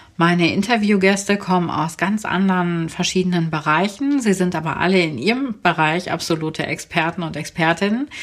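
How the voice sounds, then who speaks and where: A woman's medium-pitched voice, warm and enthusiastic in tone, at a moderate pace on a very clean recording with a silent background. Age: 40s. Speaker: podcast host and virtual assistant. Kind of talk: podcast introduction episode. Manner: warm, enthusiastic.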